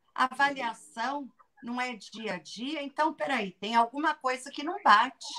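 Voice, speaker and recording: A woman speaks in a raised, projected voice, high-pitched with a bright, sharp tone. Her pace is fairly slow and her loudness swings widely. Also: lively intonation. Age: 50s. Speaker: educator and author. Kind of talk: casual interview.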